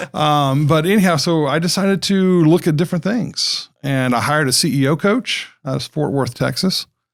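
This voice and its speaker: With an unremarkable speaking voice, a man talks at a moderate pace and a fairly high pitch, ordinary pitch variation, and hardly any pauses. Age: 60s. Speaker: school founder, former marketing consultant. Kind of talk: podcast interview. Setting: studio.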